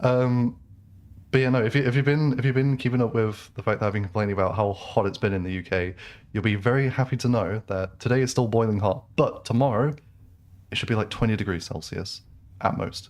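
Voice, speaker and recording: Over a quiet background, a man with a British accent speaks at a fairly quick pace with ordinary pitch variation. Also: medium pitch for a man. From England. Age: 20s. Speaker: gaming streamer. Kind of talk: casual chat. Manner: casual, many fillers and restarts.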